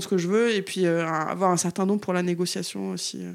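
A woman talks at a moderate pace with medium pitch. She has an ordinary speaking voice. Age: 30s. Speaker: activist. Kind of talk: casual chat.

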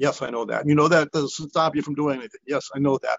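Here is a man with a plain, everyday voice. He talks at a fairly quick pace and a fairly high pitch. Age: 60s. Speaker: fitness group leader, retiree. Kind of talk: interview.

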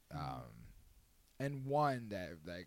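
Amid audible room echo, a man speaks at a moderate pace with very wide pitch swings. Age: 30s. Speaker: podcast host. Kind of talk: casual chat. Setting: home. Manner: animated.

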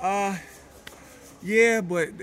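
A man talks with music playing in the background. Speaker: basketball player. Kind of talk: casual interview.

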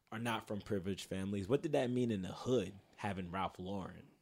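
A man with a New York accent speaks at a fairly quick pace with ordinary pitch variation, in a very clean recording with a silent background. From Queens, New York City. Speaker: podcast host, advertising professional. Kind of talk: casual chat. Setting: studio.

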